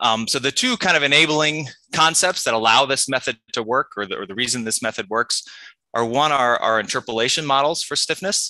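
Over a quiet background, a man at medium pitch talks at a fairly quick pace in a bright, sharp tone with ordinary pitch variation, the sound dry with no echo. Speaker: university researcher. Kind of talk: conference presentation. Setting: video call. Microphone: video call.

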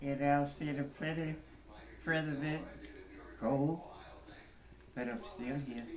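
Through noticeable background noise, the speech goes at a very slow pace with long, frequent pauses. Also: woman, very deep, low pitch for a woman, fairly even intonation. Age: 80s+. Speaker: voter. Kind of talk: interview. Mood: grateful, faith-filled, warm. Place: home room. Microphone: phone near.

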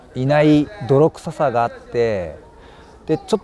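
Light background noise sits behind a dry sound with no echo. The man speaks at a fairly slow pace. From Kansai, Japan (rural basin). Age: 50s. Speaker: actor. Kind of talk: interview answers. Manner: halting, with many pauses and fillers. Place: open country.

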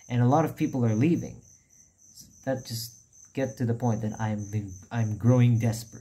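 A man speaks in a dark, mellow, somewhat breathy voice. His pace is moderate and his pitch variation ordinary. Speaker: YouTuber. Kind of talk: casual announcement vlog. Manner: quiet. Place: home room. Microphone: phone near.

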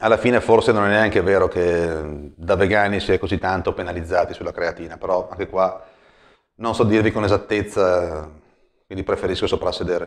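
Over a quiet background, a man speaks. His pace is fairly quick. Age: 30s. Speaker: personal trainer. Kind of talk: vlog monologue. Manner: hesitant. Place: home room. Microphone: lapel.

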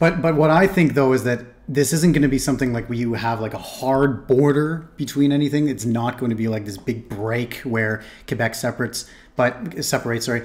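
A man's medium-pitched voice with a Canadian accent, ordinary pitch variation and a fairly quick pace. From Toronto, Canada. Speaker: reaction streamer. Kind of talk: reaction commentary. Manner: halting, with fillers and repetitions; casual.

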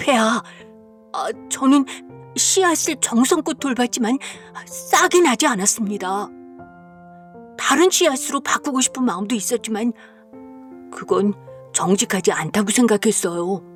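A shaky, fairly high put-on character voice moves at a moderate pace with long, frequent pauses. Clear music plays in the background.

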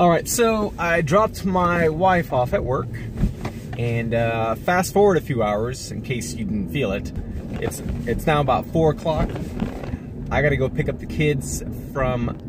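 A man at a fairly slow pace with long, frequent pauses, dry with no echo, over noticeable background noise. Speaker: family vlogger. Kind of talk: casual vlog chat. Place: car. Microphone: phone near.

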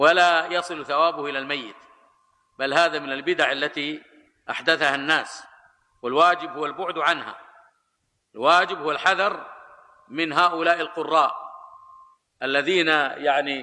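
The delivery is fairly slow, with fairly even intonation and long, frequent pauses. The background is quiet. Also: man. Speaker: religious lecturer. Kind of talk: sermon. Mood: critical, mildly sarcastic storytelling. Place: hall. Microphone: podium.

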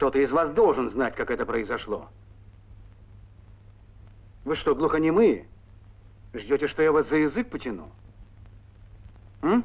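A man's put-on character voice at a medium pitch, with big pitch swings, vocal fry and a slightly husky edge, at a fairly slow pace with long, frequent pauses.

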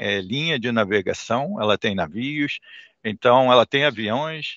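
Against a quiet background and with a dry sound with no echo, a man speaks at a very slow pace with ordinary pitch variation. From Brazil. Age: 60s. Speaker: shipping terminal investment executive. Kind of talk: interview; interview answer. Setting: video call. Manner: halting, many fillers. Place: office. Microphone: headset.

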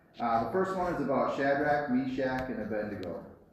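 This man talks at a fairly quick pace. Strong room echo surrounds his voice, with light background noise. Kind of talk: children's story talk. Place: church. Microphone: camera far.

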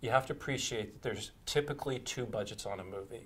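A man's somewhat breathy voice at a very fast pace. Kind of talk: interview answer. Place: studio. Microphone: lapel.

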